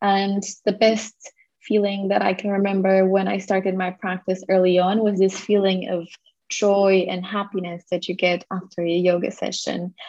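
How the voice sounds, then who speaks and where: A woman speaks in a Portuguese accent at medium pitch. Her intonation is monotone and flat. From Portugal. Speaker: yoga teacher. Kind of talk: casual interview.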